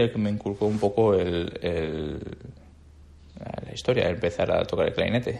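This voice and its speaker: A man talks with ordinary pitch variation. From Andalusia, Jaén (Bailén). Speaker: orchestral clarinetist. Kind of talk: casual interview chat. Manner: halting, with frequent repetitions.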